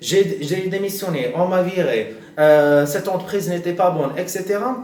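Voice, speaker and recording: Speaking at a high pitch with ordinary pitch variation, a man is heard over noticeable background noise and audible room echo. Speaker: career advice youtuber. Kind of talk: tutorial. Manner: slow; halting, many hesitations.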